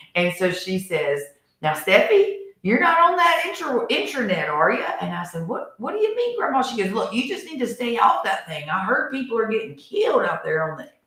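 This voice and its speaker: Audible room echo is heard as a woman speaks. Her tone is animated and her pace fairly quick. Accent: Appalachian. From US South, Harrisburg area, North Carolina. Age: middle-aged. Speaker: community relief organizer and show host. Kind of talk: casual chat. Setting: studio.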